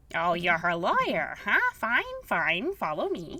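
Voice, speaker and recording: A put-on character voice, female-sounding, at a middle pitch and a fairly slow pace. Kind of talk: stupid voice. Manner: gruff, dismissive.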